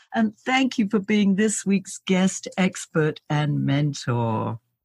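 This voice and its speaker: A woman speaks with a somewhat breathy voice and lively intonation. The sound is dry and close, with no echo. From Britain. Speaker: podcast host. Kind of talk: podcast interview.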